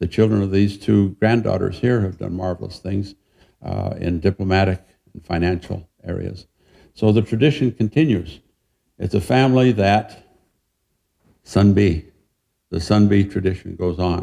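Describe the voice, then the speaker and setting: With a Western US accent, a man talks at a moderate pace in a fairly low pitch, with a dark, mellow tone, ordinary pitch variation and long, frequent pauses. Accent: American, Western US. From Utah, near Salt Lake City. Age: 70s. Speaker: professor. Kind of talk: lecture. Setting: museum talk with audience.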